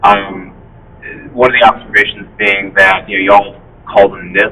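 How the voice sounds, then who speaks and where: In a Southern US accent, a man speaks at a moderate pace in a fairly low, monotone, flat voice whose loudness swings widely. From US South. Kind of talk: community meeting discussion.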